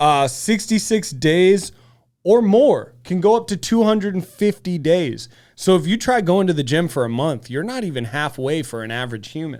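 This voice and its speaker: A man speaks loudly with a high pitch and very wide pitch swings. The recording is very clean with a silent background. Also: moderate pace. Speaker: podcast co-host. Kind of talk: casual chat. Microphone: soft mic, needs to be close.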